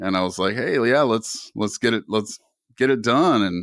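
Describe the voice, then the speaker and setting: An unremarkable speaking voice with a Canadian accent moves at a moderate pace with lively intonation on a very clean recording with a silent background. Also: man. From Canada. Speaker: podcast host. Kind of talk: casual interview chat.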